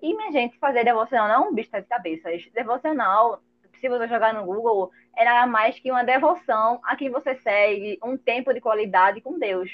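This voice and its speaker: An animated woman's voice, fairly high in pitch with ordinary variation, at a moderate pace. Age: 20s. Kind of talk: casual chat.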